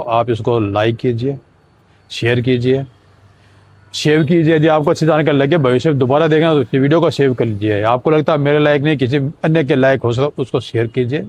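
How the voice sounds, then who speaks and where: A normal speaking voice comes through with ordinary pitch variation. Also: man. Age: 60s. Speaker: vlogger sharing weight loss journey. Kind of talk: casual vlog monologue.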